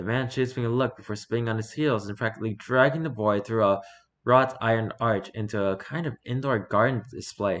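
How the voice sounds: Simply a natural reading voice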